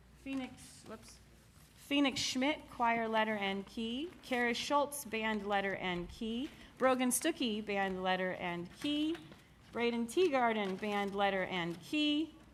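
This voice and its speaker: A woman with a normal speaking voice talks at a fairly slow pace, her fairly high pitch carried by lively intonation. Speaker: music teacher. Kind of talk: awards ceremony announcements.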